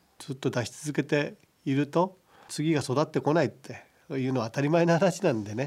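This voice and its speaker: A man with an ordinary speaking voice talks at a fairly quick pace and a fairly high pitch. His pitch variation is ordinary, and the recording is very clean with a silent background. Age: 60s. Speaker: pig farming company chairman. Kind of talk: radio interview. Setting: studio.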